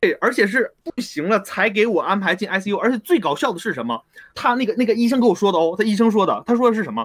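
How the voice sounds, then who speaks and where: A man speaks at a very fast pace. His voice is high-pitched, with ordinary pitch variation. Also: dry, close sound with no echo. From Northeast China (Anshan, Liaoning). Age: 20s. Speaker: student in Japan who had COVID. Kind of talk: call-in interview. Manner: halting, with stutters and repetitions.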